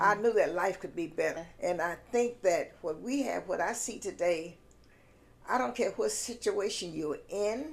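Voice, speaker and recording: A woman with a Southern US accent, at a fairly slow pace, with lively intonation. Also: medium pitch for a woman. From South Carolina, US. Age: 80s+. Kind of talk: interview answer.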